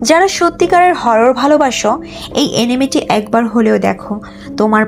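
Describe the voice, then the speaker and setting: Music plays in the background as a woman speaks with a fairly high pitch. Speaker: voice-over artist. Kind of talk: anime explanation narration.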